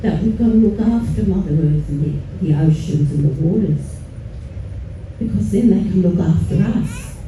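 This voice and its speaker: Over noticeable background noise and audible room echo, a woman talks at a moderate pace with very wide pitch swings. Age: 70s. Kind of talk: speech at a protest rally. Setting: outdoor rally with crowd.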